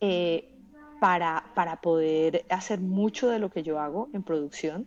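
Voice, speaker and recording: With a strong Bogotá accent, a woman speaks fairly slowly with ordinary pitch variation. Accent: Bogotá Colombian accent, kept strong. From Colombia, Bogotá. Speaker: journalist and audiovisual producer. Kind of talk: podcast interview.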